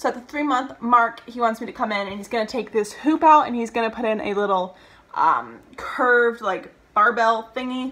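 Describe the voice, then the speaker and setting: A woman with an American accent speaks in a fairly high, bright and sharp voice. Her pitch varies in an ordinary way, while her loudness swings widely. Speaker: vlogger. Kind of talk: casual vlog talk to camera. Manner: fast.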